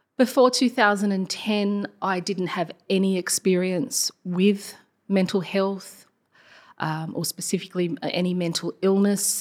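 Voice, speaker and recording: A woman speaks at a very slow pace with an Australian accent and ordinary pitch variation. The recording is very clean, with a silent background. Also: medium pitch for a woman. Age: 40s. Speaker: primary school teacher. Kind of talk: personal testimony interview. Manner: hesitant, many fillers.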